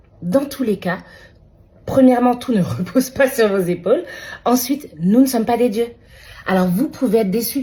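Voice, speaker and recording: A somewhat breathy woman's voice with a dark, mellow tone, very wide pitch swings and a moderate pace. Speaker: midwife. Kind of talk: encouraging talk to camera. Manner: casual, with hesitations.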